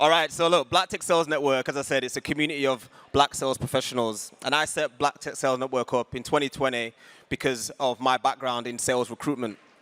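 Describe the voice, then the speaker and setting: A man with a West Yorkshire accent talks very fast at a medium pitch, his intonation fairly even. His tone is bright and sharp, and the sound is dry and close with no echo. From northern England, Huddersfield. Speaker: community founder, panel moderator. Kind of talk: panel discussion on stage. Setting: stage with audience.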